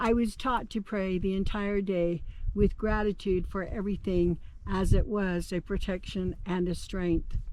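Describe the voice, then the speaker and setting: A woman with a Navajo Nation accent and a dark, mellow tone. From Navajo Nation, Southwestern United States. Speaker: storyteller. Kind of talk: oral history narration.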